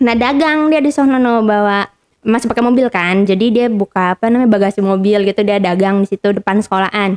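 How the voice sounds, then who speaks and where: With a Jakarta accent, a woman speaks very fast in a medium-pitched voice with ordinary pitch variation, very even loudness and hardly any pauses, the sound dry and close with no echo. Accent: Betawi-style. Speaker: podcast guest sharing life story. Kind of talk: casual chat. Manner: animated.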